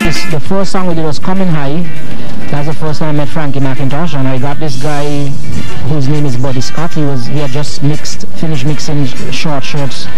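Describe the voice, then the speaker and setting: With clear music in the background, a man speaks at a moderate pace with ordinary pitch variation and very even loudness, in a dry sound with no echo. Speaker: interviewee. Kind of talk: interview answer. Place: garden. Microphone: handheld.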